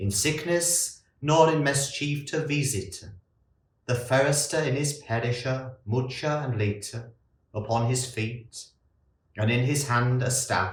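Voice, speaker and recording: Very slow and marked by long, frequent pauses, a man's somewhat breathy voice sits at a medium pitch with ordinary pitch variation. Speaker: monk. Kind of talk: poetry reading.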